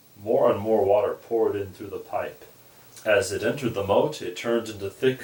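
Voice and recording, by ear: A passage is read aloud. The voice is natural.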